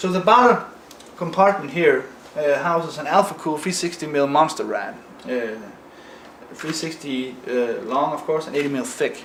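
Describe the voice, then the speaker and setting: A man with a Danish accent and a fairly high pitch speaks at a moderate pace with lively intonation and long, frequent pauses, over noticeable background noise and audible room echo. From Denmark. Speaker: PC modder. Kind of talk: video walkthrough of own PC build. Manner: halting, many fillers.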